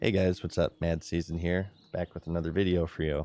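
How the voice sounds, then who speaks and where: Speaking at a fairly quick pace, a man puts on a raspy character voice that is very deep and low, delivered in a flat monotone. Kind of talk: casual. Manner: upbeat, chirpy.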